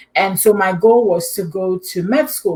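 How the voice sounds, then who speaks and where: A woman with a Ghanaian accent, medium pitch, somewhat breathy, at a moderate pace with ordinary pitch variation. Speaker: immunology PhD and adjunct professor. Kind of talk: interview.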